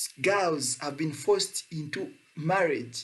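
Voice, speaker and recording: A man's high-pitched voice. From Uganda. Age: 20s. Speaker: climate activist. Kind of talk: prepared speech.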